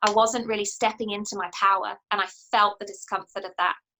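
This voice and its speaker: A woman speaks with a New Zealand accent. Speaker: coach and author. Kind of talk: interview answer.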